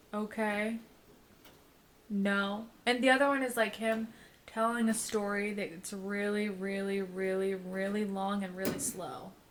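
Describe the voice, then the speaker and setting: A woman's medium-pitched voice with fairly even intonation and audible room echo. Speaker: podcast co-host. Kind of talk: casual chat. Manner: fast.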